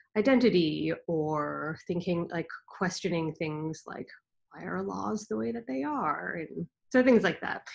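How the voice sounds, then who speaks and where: A woman speaks at a fairly slow pace with a fairly low pitch and vocal fry. The background is quiet. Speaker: children's book author and illustrator. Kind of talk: panel discussion. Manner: halting. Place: home room. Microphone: video call.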